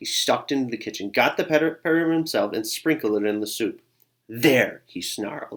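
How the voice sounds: Quiet surroundings behind a natural reading voice.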